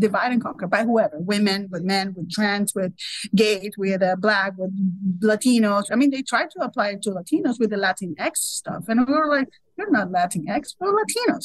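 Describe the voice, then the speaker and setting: Against a quiet background with a dry sound and no echo, a woman talks quickly in a fairly high, somewhat breathy voice with lively intonation. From Venezuela. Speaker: focus group participant. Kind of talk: focus group discussion. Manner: animated. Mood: frank, critical opinions. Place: home room. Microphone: video call.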